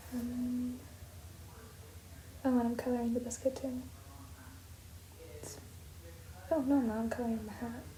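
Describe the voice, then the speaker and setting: With an American accent, a woman speaks at a moderate pace, her loudness swinging widely and her long pauses coming often, while noticeable background noise and audible room echo fill the recording. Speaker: art youtuber. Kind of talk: casual voiceover commentary. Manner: soft-spoken; halting, filler-heavy.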